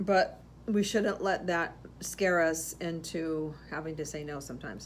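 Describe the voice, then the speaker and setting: A woman speaks at a fairly low pitch with ordinary pitch variation. Her pace is fairly slow, and audible room echo surrounds her voice. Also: big swings in loudness. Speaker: podcast co-host, florist shop owner. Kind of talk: casual chat. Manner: loud; halting.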